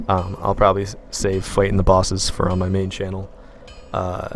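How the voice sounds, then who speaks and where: The words rush out at a very fast pace against noticeable background noise. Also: man. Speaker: gaming live streamer. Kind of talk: live stream chat while gaming. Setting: live stream. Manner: quiet, taking it easy on voice.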